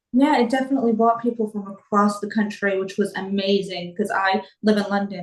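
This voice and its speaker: A woman with an American accent at a very fast pace, medium in pitch. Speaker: property investor. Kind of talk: interview.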